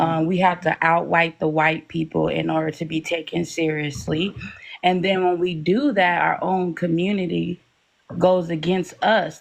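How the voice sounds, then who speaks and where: A soft-spoken woman with a fairly low pitch talks at a fairly slow pace with ordinary pitch variation. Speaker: live stream panelist. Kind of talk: casual panel discussion.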